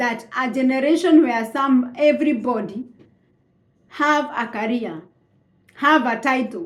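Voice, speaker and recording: Audible room echo surrounds a woman with a Kenyan accent who talks at a fairly slow pace, her high pitch showing ordinary variation. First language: Kikuyu. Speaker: vlogger. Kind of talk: casual monologue. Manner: halting.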